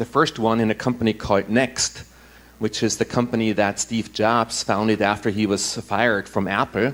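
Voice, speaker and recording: A man's flat, monotone voice in an Austrian accent, medium in pitch, at a moderate pace with very even loudness. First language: German. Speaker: impact investor and former tech executive. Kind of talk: conference talk.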